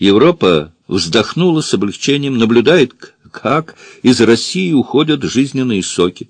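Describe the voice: Someone does plain reading aloud. The intonation is lively, and the background is quiet.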